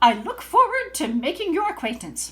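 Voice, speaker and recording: A woman performs a put-on character voice at an extremely high pitch, moving at a moderate pace. Her pitch swings very widely. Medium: read story. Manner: formal, stiff.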